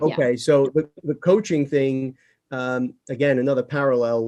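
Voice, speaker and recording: Here is a normal speaking voice at a moderate pace. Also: man. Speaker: podcast host, real estate CEO. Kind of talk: podcast interview.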